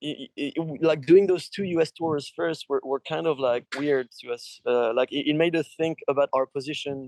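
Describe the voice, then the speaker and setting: A man speaks with a French accent at a moderate pace and a fairly high pitch. The sound is dry and close, with no echo. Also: ordinary pitch variation. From France. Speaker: rock musician. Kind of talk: interview. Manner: halting, many fillers.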